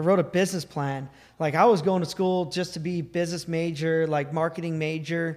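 A man speaks at a fairly quick pace with a high pitch. His intonation is monotone and flat. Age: 30s. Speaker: off-road racing driver. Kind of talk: interview. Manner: halting.

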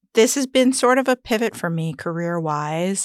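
A woman with an American accent speaks at a moderate pace in an ordinary speaking voice with a fairly low pitch, in a very clean recording with a silent background. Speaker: entrepreneur and mother. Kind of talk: casual chat, personal birth story.

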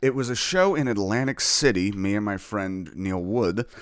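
An ordinary speaking voice from a man with an American accent, fairly low in pitch, at a moderate pace, on a very clean recording with a silent background. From New Jersey. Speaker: comedian. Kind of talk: casual chat.

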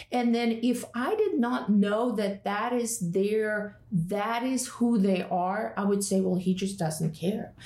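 At a very slow pace with hardly any pauses, a woman with a Russian accent keeps a medium pitch, ordinary pitch variation and very even loudness. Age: 40s. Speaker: yoga and Enneagram teacher. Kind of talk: casual chat. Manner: animated.

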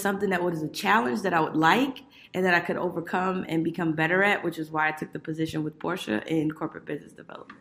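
The speaker has an ordinary speaking voice with ordinary pitch variation, with an American accent. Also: woman. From Miami, Florida. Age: 30s. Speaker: corporate business development manager. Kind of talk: interview podcast.

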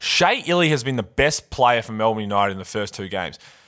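A man with an Australian accent, very fast in pace, with lively intonation. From Adelaide, Australia. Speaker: basketball podcast co-host, former pro player. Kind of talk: casual sports banter podcast.

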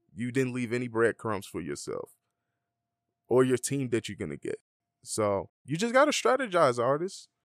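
A man with an Atlanta accent at a moderate pace, with long, frequent pauses, in a dry, close sound with no echo and a very clean recording with a silent background. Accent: Atlanta, US South. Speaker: DJ and music producer. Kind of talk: casual interview. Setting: studio.

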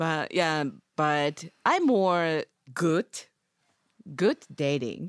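In a dry, close sound with no echo, a woman with a fairly low pitch and ordinary pitch variation speaks at a very slow pace with long, frequent pauses. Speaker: podcast host. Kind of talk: casual chat. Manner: halting non-native English.

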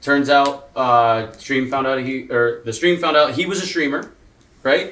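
Speaking at a moderate pace, a man has a plain, everyday voice. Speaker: gaming streamer. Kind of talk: casual group chat.

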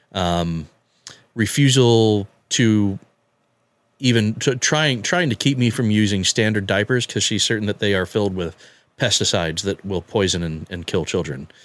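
On a very clean recording with a silent background, an unremarkable speaking voice proceeds at a moderate speed, its pitch varying in an ordinary way. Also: man, fairly low pitch for a man. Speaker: father sharing his story. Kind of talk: personal story interview.

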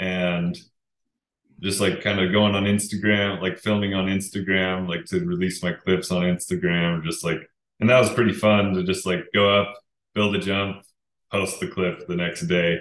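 Fairly low-pitched, a man with an American accent talks at a moderate pace with fairly even intonation. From Utah. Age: 30s. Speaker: pro skier. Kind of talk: casual interview chat. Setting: at home, remote call.

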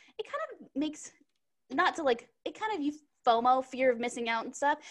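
Speaking at a moderate pace, a woman with an American accent has a high-pitched voice. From Texas. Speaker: podcast co-host. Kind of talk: casual chat.

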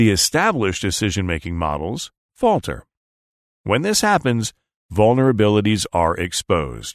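In an unremarkable speaking voice, a man talks at a moderate pace with a fairly low pitch and lively intonation, over a quiet background with a dry, close sound and no echo. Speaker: audio article narrator. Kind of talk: reading aloud.

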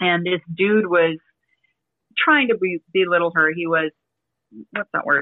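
A woman with an American accent and a fairly low pitch speaks with long, frequent pauses. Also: ordinary pitch variation. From Las Vegas, Nevada (partly Vancouver, Canada). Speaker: bartender and social media creator. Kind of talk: casual interview chat. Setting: remote call from home. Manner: fast.

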